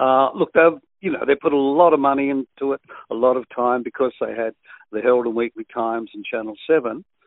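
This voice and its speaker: A man with an Australian accent talks at a fairly quick pace and medium pitch, with ordinary pitch variation. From western Sydney, Australia. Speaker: veteran radio presenter. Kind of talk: interview.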